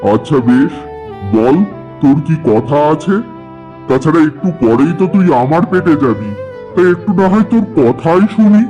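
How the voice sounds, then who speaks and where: Over clear background music, a man does a cartoonish character voice at a fairly high pitch and a moderate pace. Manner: gruff, talks down to others.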